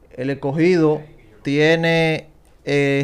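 Fairly high male voice, monotone and flat in intonation. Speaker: baseball analyst. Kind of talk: casual chat.

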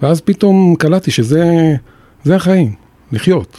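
A man's voice is heard. His delivery is very slow. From Jerusalem, Israel. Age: 50s. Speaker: former radio and TV broadcaster. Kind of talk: personal testimony in interview.

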